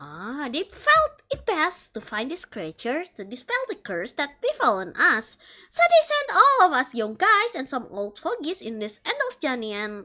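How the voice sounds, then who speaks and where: Putting on a character voice, a woman talks at a moderate pace in a high pitch with very wide pitch swings, big swings in loudness, and hardly any pauses. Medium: virtual streamer. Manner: rambling, self-deprecating.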